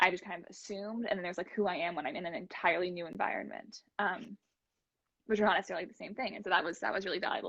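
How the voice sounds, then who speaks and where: Speaking with an American accent, a woman talks at a very fast pace with fairly even intonation. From Oregon, US. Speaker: former exchange student. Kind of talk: casual chat. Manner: halting.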